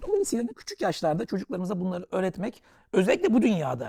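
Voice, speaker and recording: A man with a high pitch and a dark, mellow tone, talking at a very fast pace. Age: 40s. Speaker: author and investor. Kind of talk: casual interview.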